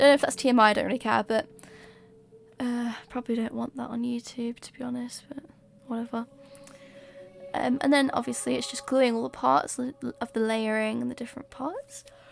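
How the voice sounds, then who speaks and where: In a British accent, someone talks at a fairly quick pace with ordinary pitch variation, big swings in loudness, and long, frequent pauses. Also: woman, high pitch for a woman. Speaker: cosplay maker. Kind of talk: tutorial narration. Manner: casual, hesitant with fillers.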